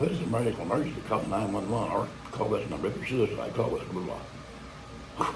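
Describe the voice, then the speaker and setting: Amid audible room echo and noticeable background noise, a fairly low-pitched man talks very fast with ordinary pitch variation. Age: old. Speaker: vlogger. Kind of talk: casual monologue. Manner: rambling, halting.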